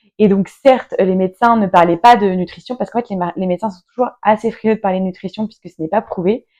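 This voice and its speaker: A woman speaks very fast with hardly any pauses, her medium pitch carried by a dark, mellow tone. Intonation stays fairly even while loudness swings widely. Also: dry, close sound with no echo. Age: 30s. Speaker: entrepreneur and patient guest. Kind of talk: interview. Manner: hesitant, many fillers.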